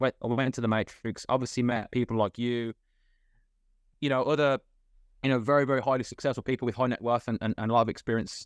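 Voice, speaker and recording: A man talks very fast at a medium pitch, his intonation monotone and flat. The background is quiet, and the sound is dry and close with no echo. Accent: British. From UK. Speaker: guest, former factory worker turned self-improvement coach. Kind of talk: podcast interview. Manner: halting, many fillers. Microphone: connection breaking up.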